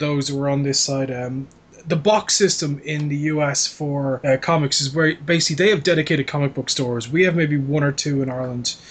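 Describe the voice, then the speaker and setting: The voice is somewhat breathy. It moves at a fairly quick pace with ordinary pitch variation. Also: man. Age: 30s. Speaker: podcast host. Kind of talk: casual chat. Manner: animated.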